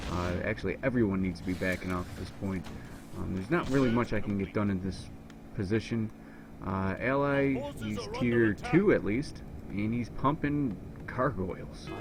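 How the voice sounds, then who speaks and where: A man's fairly low-pitched voice at a moderate pace, with ordinary pitch variation and long, frequent pauses, over music in the background. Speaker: gaming commentator. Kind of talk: gameplay commentary.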